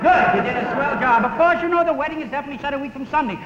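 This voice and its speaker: A man talks at a very fast pace. Room echo is audible, along with light background noise. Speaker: comedian. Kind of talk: comedy routine. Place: studio.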